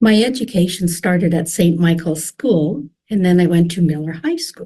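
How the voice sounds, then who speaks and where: A woman with a Canadian Prairies accent speaks at a fairly low pitch. Her tone is dark and mellow, and somewhat breathy. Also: ordinary pitch variation, moderate pace. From Saskatchewan, Canada (Regina). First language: French. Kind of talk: personal testimony. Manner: halting.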